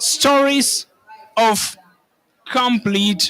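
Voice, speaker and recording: Raised and projected, a man's voice sits at an extremely high pitch with a bright, sharp tone and fairly even intonation. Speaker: land restoration expert. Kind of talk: panel discussion. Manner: hesitant, with filler sounds.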